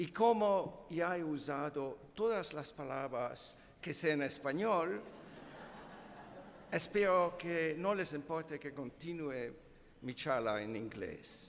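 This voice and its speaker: In a room with audible echo, a man with a non-native accent talks at a very slow pace, his fairly high voice carrying lively intonation. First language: not Spanish (speaking Spanish). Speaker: physics professor, keynote speaker. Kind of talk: conference talk.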